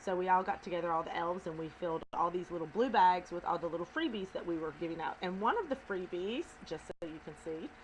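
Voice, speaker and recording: Speaking at a very fast pace over noticeable background noise, a woman with a Southern US accent talks at a fairly low pitch with ordinary pitch variation. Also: hardly any pauses. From US South. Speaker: video blogger. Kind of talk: casual chat. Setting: at home.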